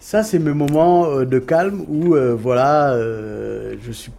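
Over background music and audible room echo, a man speaks very slowly at a medium pitch, with lively intonation and big swings in loudness. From Cape Verde, Dakar and Paris suburbs. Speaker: record label founder. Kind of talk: casual interview. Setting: outdoors.

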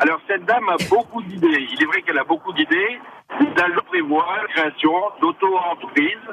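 Over noticeable background noise, a man with a high pitch talks at a moderate pace with very wide pitch swings. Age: 60s. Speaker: radio caller, retired civil servant. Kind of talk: call-in comment.

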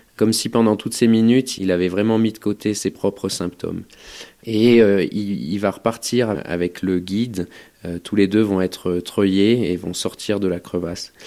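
A man's fairly low voice, at a fairly slow pace, with fairly even intonation. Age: 30s. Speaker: mountain rescue doctor. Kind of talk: testimony. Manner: halting, with repetitions and hesitations.

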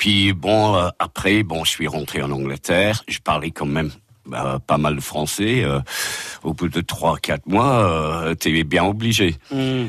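In a dry, close sound with no echo, a man with a very deep, low pitch and vocal fry speaks at a very slow pace with lively intonation. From England, Liverpool. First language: English (speaking French). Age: 60s. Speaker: guest, English expat. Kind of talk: radio interview. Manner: hesitant.

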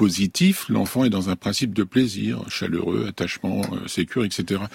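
A man talks at a moderate pace with ordinary pitch variation. His voice has vocal fry. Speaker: clinical psychologist. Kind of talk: radio discussion. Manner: outspoken.

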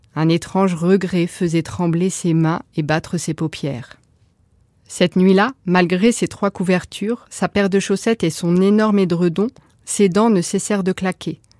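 A woman speaks at a medium pitch and a fairly slow pace, with ordinary pitch variation and a dark, mellow, dramatic, gentle tone. The recording is very clean, with a silent background. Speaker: storyteller. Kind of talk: bedtime story telling, fairy-tale narration. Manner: soft, gentle, lilting storyteller's cadence; slow, hushed, dramatic, expressive.

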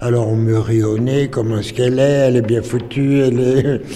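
Medium-pitched man with fairly even intonation at a moderate pace, amid noticeable background noise and audible room echo. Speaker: writer and former journalist. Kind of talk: recollection interview. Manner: halting, repeating words.

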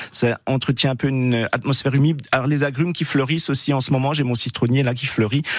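A man speaks with an Alsatian accent. His intonation is fairly even. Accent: Alsatian accent, praised. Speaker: gardening expert. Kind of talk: radio call-in advice.

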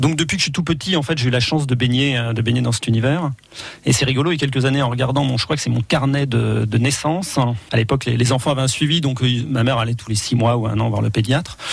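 Talking at a very fast pace, a man keeps his loudness very even and his pitch variation ordinary. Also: medium pitch for a man. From France, Loiret then Brittany (Morbihan). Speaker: wildlife photographer. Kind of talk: radio interview. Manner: halting, many repetitions.

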